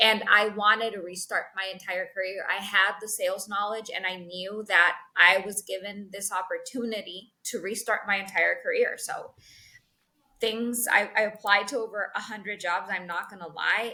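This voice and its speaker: The tone is bright and sharp, with a Spanish accent. The pace is moderate, and the loudness swings widely. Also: woman, medium pitch for a woman. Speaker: sales executive. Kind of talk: interview. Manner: animated.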